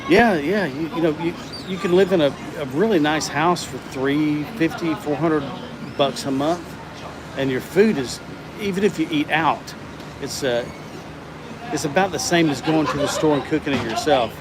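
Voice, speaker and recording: A man with a Southern US accent speaks at a moderate pace, his pitch fairly high and its variation ordinary. He takes long, frequent pauses over noticeable background noise. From US South. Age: 60s. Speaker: livestreamer. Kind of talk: casual chat. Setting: livestream. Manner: halting.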